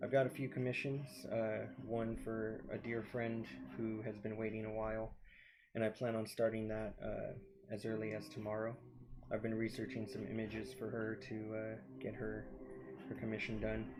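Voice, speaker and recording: Soft-spoken and fairly low in pitch, a man talks at a moderate pace with ordinary pitch variation amid audible room echo. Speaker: artist and live streamer. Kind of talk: casual live stream commentary while drawing. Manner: halting, with many fillers.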